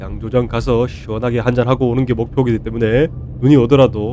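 Someone speaks at a very fast pace against noticeable background noise. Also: man. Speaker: beer vlogger. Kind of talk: vlog narration.

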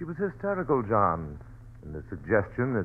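A man speaks at a fairly quick pace. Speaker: radio actor playing a doctor. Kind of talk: radio drama dialogue. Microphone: old recording.

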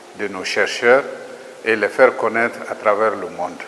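A man's lively intonation comes through with light background noise. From Mali. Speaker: agricultural research director. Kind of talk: interview statement. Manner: formal. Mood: calm, formal.

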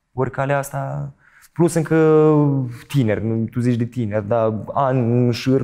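In a quiet setting, a man with a dark, mellow tone and medium pitch talks at a moderate pace with ordinary pitch variation. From Moldova. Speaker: stage actor and TV presenter; stage actor, TV presenter. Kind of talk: interview. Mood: calm, reflective. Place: studio.

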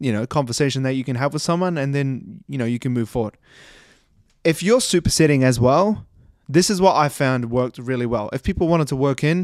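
A man talks at a fairly quick pace with ordinary pitch variation, the sound dry with no echo against a quiet background. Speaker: fitness coach. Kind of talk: casual podcast commentary. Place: home room. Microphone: studio mic.

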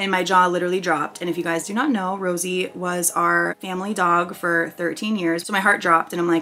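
Speaking at a fairly quick pace, a woman with a fairly low pitch has an unremarkable speaking voice. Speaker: vlogger. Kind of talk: casual storytime vlog chat. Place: home room. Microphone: camera far.

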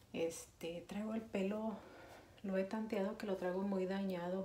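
With audible room echo and light background noise, a woman speaks at a fairly slow pace in a monotone, flat intonation. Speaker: vlogger. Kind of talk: casual vlog talk to camera. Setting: bathroom at home. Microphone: phone near.

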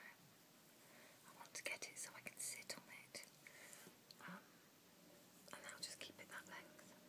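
A woman whispers with a British accent. She leaves long, frequent pauses. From UK. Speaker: ASMR vlogger. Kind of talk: casual ASMR ramble to camera. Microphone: phone near.

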